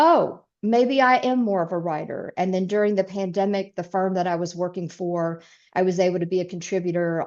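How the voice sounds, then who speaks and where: A woman's medium-pitched voice with a Southern US accent, ordinary pitch variation and a quiet background. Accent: full Southern. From US South, East Tennessee. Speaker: author and speaker. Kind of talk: interview.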